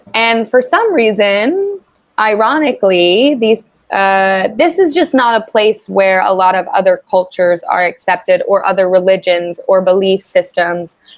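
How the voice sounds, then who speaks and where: A woman's ordinary speaking voice in an American accent, medium in pitch, with lively intonation, a fairly slow pace and very even loudness. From US South, Tennessee. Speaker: online English tutor. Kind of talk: casual conversation lesson.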